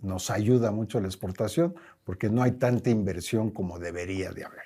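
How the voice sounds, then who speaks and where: The speaker is a man. His tone is dark and mellow. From Mexico. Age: 70s. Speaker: company president. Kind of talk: interview.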